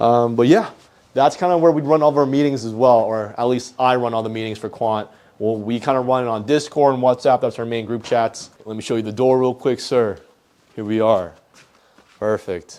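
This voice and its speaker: Here is a man with an American accent and an ordinary speaking voice. His pitch is medium with ordinary variation, and he moves at a fairly quick pace. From US East Coast. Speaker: entrepreneur. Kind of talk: casual vlog tour.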